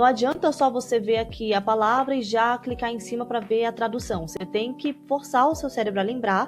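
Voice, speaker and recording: Noticeable background noise sits behind a woman talking at a fairly high pitch and a fairly quick pace. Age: adult. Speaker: language-learning youtuber. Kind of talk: tutorial. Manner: casual, conversational.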